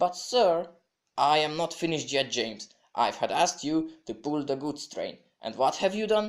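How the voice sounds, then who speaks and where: A man speaks at a moderate pace in a Hungarian accent. His intonation is lively. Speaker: hobby stop-motion animator and narrator. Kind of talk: read children's story narration.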